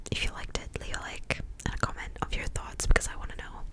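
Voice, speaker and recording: Whispering over noticeable background noise. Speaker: ASMR youtuber. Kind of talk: whispered TV recap. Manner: casual, filler-heavy.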